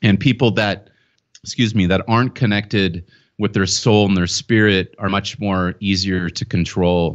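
A fairly low-pitched man with an American accent, fairly even intonation and a moderate pace. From US West Coast, Southern California. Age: 40s. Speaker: author and website owner. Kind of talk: interview.

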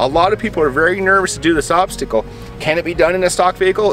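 Faint music plays in the background. A man talks at a very fast pace, the sound dry with no echo. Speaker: trail guide. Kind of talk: commentary. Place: open country.

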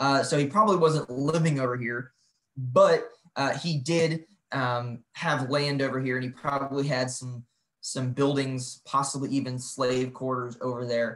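A man with an American accent speaks at a fairly slow pace, his intonation fairly even. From US Midwest. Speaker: national park historian; presenter. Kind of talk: online lecture presentation. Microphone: video call.

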